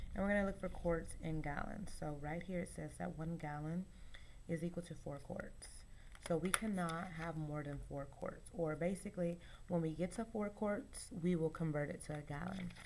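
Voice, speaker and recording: Her intonation fairly even and her pitch fairly low, a woman talks at a moderate pace. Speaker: teacher. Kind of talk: tutorial. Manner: casual, hesitant with fillers.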